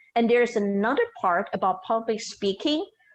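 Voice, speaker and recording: Speaking with a slight non-native accent, a woman uses a high pitch and lively intonation. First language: not English. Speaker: storyteller and show host. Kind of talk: podcast interview.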